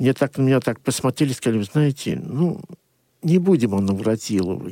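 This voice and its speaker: Recorded dry and close with no echo, a man speaks at a medium pitch with lively intonation. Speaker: journalist. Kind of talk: radio talk show discussion. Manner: hesitant, many filler sounds.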